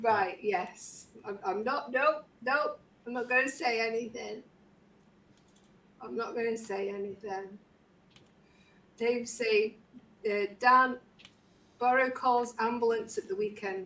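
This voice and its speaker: Pausing long and often, a woman with a fairly high voice speaks at a very slow pace. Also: ordinary pitch variation. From Stoke-on-Trent, English Midlands. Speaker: craft livestream host. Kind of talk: casual livestream chat. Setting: livestream video call.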